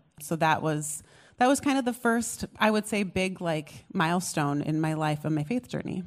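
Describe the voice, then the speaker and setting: A woman with an American accent speaks at a moderate pace with fairly low pitch and very wide pitch swings. The recording is very clean with a silent background. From US, small town. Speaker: pastor. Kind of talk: testimony. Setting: stage with audience.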